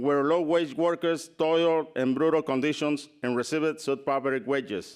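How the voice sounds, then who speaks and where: A man with a non-native accent, fairly high-pitched, at a fairly slow pace with fairly even intonation, on a very clean recording with a silent background. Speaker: farmworker rights advocate, award recipient. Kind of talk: award acceptance speech.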